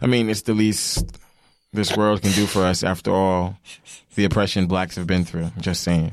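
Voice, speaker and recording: The man's pitch is very deep and low. He talks at a moderate pace with fairly even intonation. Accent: New York. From New York, Long Island. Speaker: podcast co-host. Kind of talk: casual chat.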